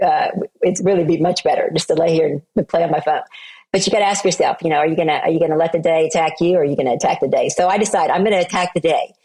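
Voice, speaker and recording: A woman's very fast, fairly low voice with an American accent, a dark, mellow tone, very even loudness and fairly even intonation. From Oklahoma, US. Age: 60s. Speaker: entrepreneur and speaker. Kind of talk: interview conversation.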